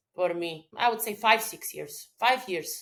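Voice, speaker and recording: A woman with a Croatian accent speaks at medium pitch. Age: 30s. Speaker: business owner and mental health advocate. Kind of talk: podcast interview.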